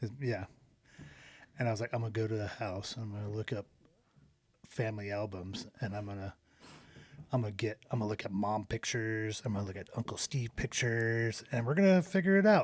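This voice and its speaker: A man at a medium pitch with ordinary pitch variation, talking at a fairly quick pace with long, frequent pauses in a very clean recording with a silent background. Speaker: podcast co-host. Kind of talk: casual chat. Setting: studio. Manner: loud; animated.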